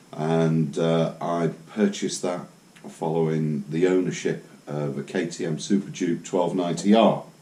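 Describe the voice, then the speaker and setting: The voice moves at a moderate pace with ordinary pitch variation. Noticeable background noise is present. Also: man. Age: 60s. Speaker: motorcycle vlogger. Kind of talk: casual monologue. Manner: halting, many fillers.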